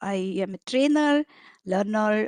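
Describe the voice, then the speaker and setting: A woman with a Marathi accent is heard in a dry, close sound with no echo and a quiet background. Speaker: agile coach and trainer. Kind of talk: online training lecture. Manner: hesitant with frequent fillers.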